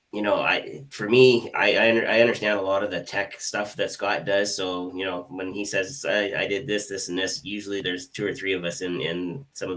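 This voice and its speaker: A man with an unremarkable speaking voice speaks at a moderate pace and fairly low pitch, his intonation fairly even. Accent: Canadian. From Canada. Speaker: hypnotist, co-host. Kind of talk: live online show discussion.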